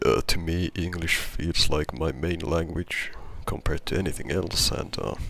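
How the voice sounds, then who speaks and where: A man speaks quietly at a moderate pace with a non-native accent. His pitch is very deep and low, and his intonation stays fairly even. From not US or UK. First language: not English. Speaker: gamer, video creator. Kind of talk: casual chat. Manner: halting, many repetitions.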